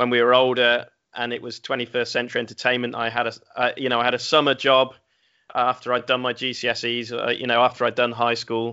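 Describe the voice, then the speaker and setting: A man speaks with an English accent at a medium pitch. His pace is moderate. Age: 30s. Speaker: games company executive. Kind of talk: interview.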